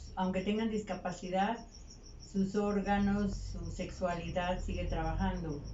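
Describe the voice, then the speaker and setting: In a recording with audible room echo and noticeable background noise, a woman speaks at a fairly slow pace with a medium pitch and monotone, flat intonation. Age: 60s. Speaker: retired primary school teacher. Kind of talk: street interview.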